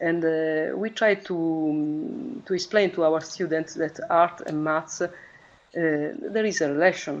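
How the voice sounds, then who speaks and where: A woman's fairly low-pitched voice in an Italian accent, with ordinary pitch variation. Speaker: math teacher. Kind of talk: online meeting speech. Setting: video call. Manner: halting.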